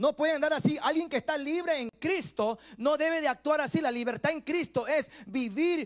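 A man speaks in an extremely high voice at a moderate pace. His tone is animated. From Ecuador. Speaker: pastor. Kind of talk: sermon. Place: church. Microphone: handheld.

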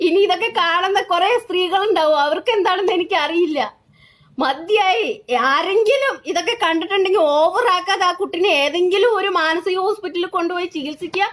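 Animated and extremely high-pitched, a woman speaks with ordinary pitch variation and very even loudness against a quiet background. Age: 30s. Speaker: social media commentator. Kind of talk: live video rant. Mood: indignant, emphatic. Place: home room. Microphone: phone near.

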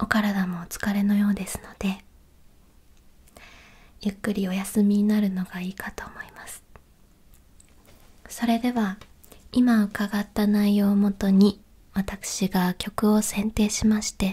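Soft-spoken and gentle in tone, a woman talks at a very slow pace with monotone, flat intonation. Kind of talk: polite role-play customer service talk. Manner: soft, gentle ASMR voice.

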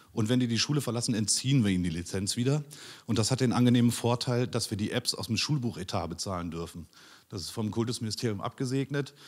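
A man at a medium pitch, talking very fast against a quiet background. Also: ordinary pitch variation. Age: 40s. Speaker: teacher. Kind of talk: conference talk. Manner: hesitant, many filler sounds. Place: hall. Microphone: handheld.

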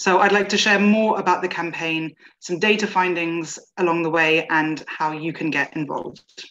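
Pitched fairly low, a woman speaks at a moderate pace in a plain, everyday voice with ordinary pitch variation. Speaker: awareness campaign manager. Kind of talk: presentation. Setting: video call.

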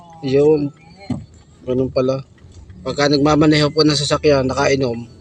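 Over music in the background, a man speaks in a monotone, flat intonation at a moderate pace, leaving long, frequent pauses. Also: fairly high pitch for a man. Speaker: vlogger. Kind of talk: casual vlog narration.

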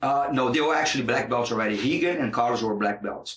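A man at medium pitch with a Portuguese accent. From Brazil, Rio de Janeiro. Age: 40s. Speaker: jiu-jitsu instructor and fighter. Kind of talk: interview.

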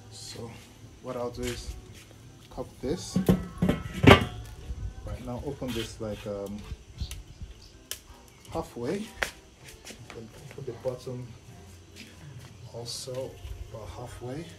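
With music in the background, a man speaks at a very slow pace, leaving long, frequent pauses. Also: ordinary pitch variation. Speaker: home cook vlogger. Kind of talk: casual cooking tutorial. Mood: relaxed, upbeat. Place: garden. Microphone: phone near.

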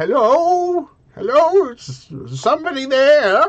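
A high-pitched, put-on character voice. It moves at a very slow pace.

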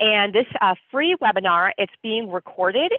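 A woman speaks at a moderate pace in a dry recording with no echo and a quiet background. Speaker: webinar host. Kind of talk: webinar introduction. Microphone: webcam.

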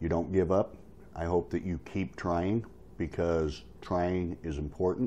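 His pitch very deep and low, a man talks at a moderate pace with fairly even intonation. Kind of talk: casual tutorial vlog. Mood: encouraging, friendly. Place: home room. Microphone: phone near.

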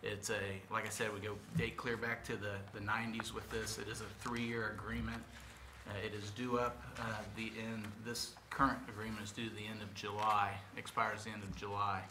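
A fairly low-pitched man at a moderate pace, flat and monotone, over noticeable background noise. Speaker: city parks official. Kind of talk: staff report to commission. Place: meeting room. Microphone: podium.

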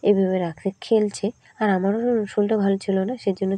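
Dry and close with no echo, a woman's dark, mellow tone holds fairly even intonation. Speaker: vlogger. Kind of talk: casual vlog narration. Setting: at home, kitchen.

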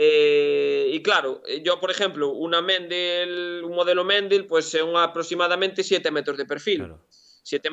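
A man's fairly slow, fairly even-toned voice, high in pitch, over a quiet background. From Galicia, Spain. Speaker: engineer and shop owner; interview guest. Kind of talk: interview. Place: workshop. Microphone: video call.

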